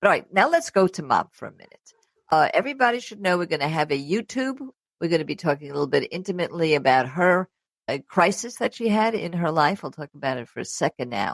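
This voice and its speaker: Talking at a very fast pace, a woman with a fairly low voice swings very widely in pitch and greatly in loudness, recorded dry and close with no echo. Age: 70s. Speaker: travel show host. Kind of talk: interview.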